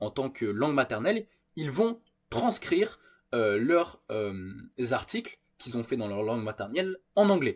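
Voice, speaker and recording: Pitch swings very widely as the words come out fairly slowly. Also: man. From France. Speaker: trading YouTuber. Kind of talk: screen-share tutorial. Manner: hesitant, many filler sounds.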